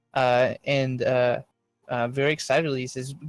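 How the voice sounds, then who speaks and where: The recording is dry and close, with no echo and music in the background. A man speaks at a fairly high pitch. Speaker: game master. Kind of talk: tabletop roleplaying narration. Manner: halting, many filler words.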